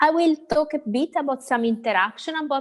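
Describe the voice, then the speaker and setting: A woman with an Italian accent at a fairly quick pace. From Italy. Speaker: central bank economist. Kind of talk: lecture. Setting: video call. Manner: halting.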